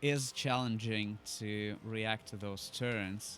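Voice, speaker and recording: A man with a non-native accent talks against noticeable background noise. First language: not English. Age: 20s. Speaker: gaming YouTuber. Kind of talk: gameplay commentary. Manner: hesitant, many fillers.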